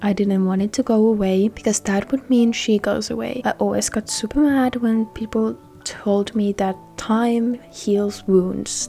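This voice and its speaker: A woman's fairly high, fairly even voice with a non-native accent, speaking fairly slowly over music in the background. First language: not English. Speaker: gaming YouTuber. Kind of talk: casual talk over gameplay. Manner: earnest, emotional.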